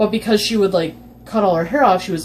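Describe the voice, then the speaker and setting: The pace is very fast as a woman speaks. Noticeable noise fills the background. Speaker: YouTuber, podcast co-host. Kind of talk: casual chat. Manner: casual, filler-heavy.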